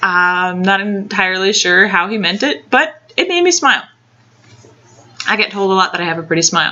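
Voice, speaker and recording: There is noticeable background noise as a woman speaks at a medium pitch with ordinary pitch variation. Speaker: video blogger. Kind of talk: casual advice vlog. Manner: halting, many fillers.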